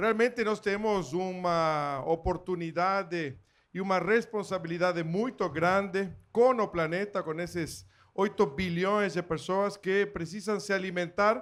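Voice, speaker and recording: A man's high-pitched voice at a fairly slow pace, with fairly even intonation, on a very clean recording with a silent background. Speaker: agricultural machinery company executive. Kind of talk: panel talk.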